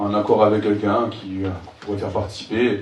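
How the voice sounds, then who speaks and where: A man's fairly fast speech carries an audible echo from the room. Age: 30s. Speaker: local election candidate, house painter. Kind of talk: campaign presentation. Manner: halting, many fillers.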